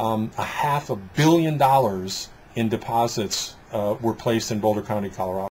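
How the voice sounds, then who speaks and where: A man speaks at medium pitch with an American accent. His voice is somewhat breathy, with ordinary pitch variation. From Detroit, US Midwest. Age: 60s. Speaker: business coach and trainer. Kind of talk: interview conversation. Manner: halting, with repetitions and fillers.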